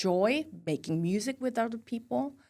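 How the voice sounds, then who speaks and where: The woman's pitch swings very widely. She keeps a moderate speed. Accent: Korean. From South Korea. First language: Korean. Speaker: university music professor. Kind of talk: interview. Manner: halting, many fillers.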